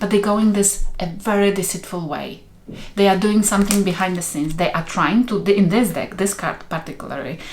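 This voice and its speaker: A woman talks fairly quickly at a medium pitch with fairly even intonation. Noticeable background noise and audible room echo come through. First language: not English. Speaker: tarot reader. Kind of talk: tarot reading. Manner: halting.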